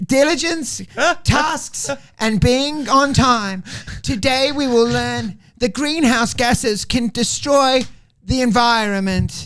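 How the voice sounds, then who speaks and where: A robotic, put-on character voice at a fairly slow pace. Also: female-sounding voice, high pitch for a woman. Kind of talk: formal announcement. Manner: unnatural, formal, robotic.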